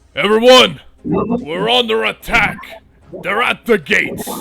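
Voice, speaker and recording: A man puts on a character voice, pitched high, speaking at a fairly slow pace. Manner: alarmed, shouting.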